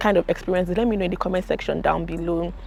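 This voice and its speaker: A woman with a Nigerian accent talks at a very fast pace. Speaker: YouTuber, international student. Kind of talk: casual vlog monologue. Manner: animated.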